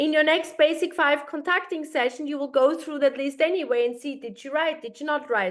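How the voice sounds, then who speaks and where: Speaking fairly quickly with hardly any pauses, the voice has a non-native accent, ordinary pitch variation and big swings in loudness. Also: woman, high pitch for a woman. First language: not English. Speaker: sales team trainer. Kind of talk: video call training session.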